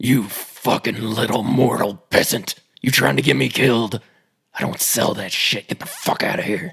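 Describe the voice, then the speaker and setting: A man's put-on character voice, growling, at medium pitch and a moderate pace. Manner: harsh, snarling, menacing.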